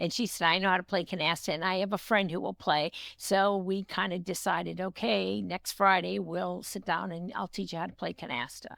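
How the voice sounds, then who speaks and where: Speaking at a fairly quick pace, a woman uses a fairly low pitch with vocal fry. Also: ordinary pitch variation, hardly any pauses. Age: 70s. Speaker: retiree. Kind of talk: interview.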